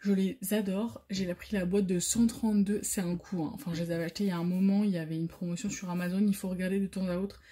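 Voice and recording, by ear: The voice moves at a fast pace, its tone dark and mellow and its intonation fairly even. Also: woman, fairly low pitch for a woman.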